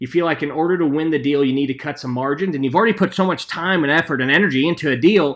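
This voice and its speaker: This man talks at a very fast pace with lively intonation. His pitch is fairly high for a man. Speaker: sales trainer. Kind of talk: webinar presentation. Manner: filler-heavy, repeats words.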